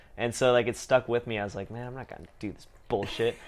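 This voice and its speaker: Against a quiet background, an unremarkable speaking voice holds fairly even intonation. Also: man. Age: 20s. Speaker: podcast host. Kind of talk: casual chat. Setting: in person at home drinking tea.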